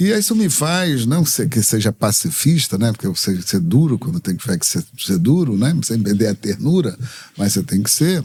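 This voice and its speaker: The somewhat breathy voice moves at a moderate pace with very wide pitch swings. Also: man. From Brazil, Rio de Janeiro. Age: 70s. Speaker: activist and religious leader. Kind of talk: interview.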